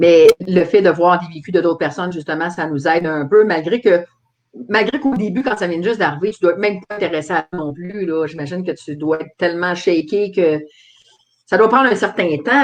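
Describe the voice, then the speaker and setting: Her pitch fairly low and ordinarily varied, a woman talks at a fairly quick pace. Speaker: talk show host. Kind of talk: interview.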